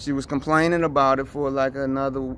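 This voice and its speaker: A man speaks with light background noise. The sound is dry, with no echo. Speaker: faith vlogger. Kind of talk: casual vlog chat. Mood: serious, concerned. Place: street.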